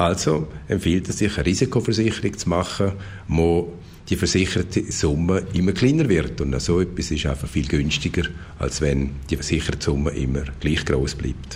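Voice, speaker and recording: Pitch moves up and down an ordinary amount. The delivery keeps a moderate pace. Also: man, very deep, low pitch for a man. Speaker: insurance and consumer expert. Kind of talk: radio interview.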